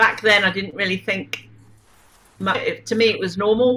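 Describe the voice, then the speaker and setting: With noticeable background noise behind her, a woman with a British accent speaks at a medium pitch with fairly even intonation. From southern England (Wiltshire). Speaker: spiritual teacher and contactee. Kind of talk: interview.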